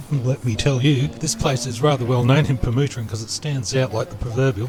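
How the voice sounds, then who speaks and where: A man with an Australian accent speaks at a fairly quick pace over noticeable background noise. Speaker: travel vlogger. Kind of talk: travel vlog narration; casual chat. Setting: outdoors on a boat. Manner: casual.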